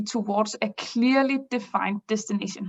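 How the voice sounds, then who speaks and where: A woman with a non-native accent talks at a fairly slow pace in a somewhat breathy, fairly high voice with ordinary pitch variation. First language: not English. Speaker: business improvement consultant. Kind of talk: webinar presentation. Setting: online webinar. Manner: halting, many fillers.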